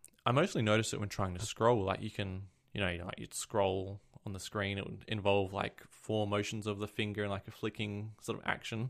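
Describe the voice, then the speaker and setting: In an Australian accent, a man speaks at a moderate pace with a fairly low pitch and monotone, flat intonation. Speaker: podcast co-host, tech enthusiast. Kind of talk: casual chat. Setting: remote call.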